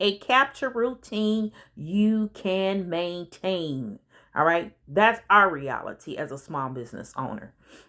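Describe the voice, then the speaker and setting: A woman speaks in a bright, sharp tone with lively intonation. The recording is very clean with a silent background. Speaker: business coach and consultant. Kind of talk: audiobook narration with casual asides. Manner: conversational, informal.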